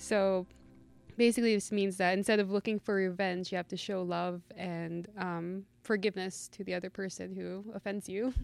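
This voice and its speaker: This woman speaks at a medium pitch and moderate pace. Her intonation is monotone and flat. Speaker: college student. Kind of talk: interview.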